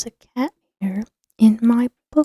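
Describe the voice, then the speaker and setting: The speaker is soft-spoken and moves at a very slow pace. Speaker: ASMR creator. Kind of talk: ASMR name reading.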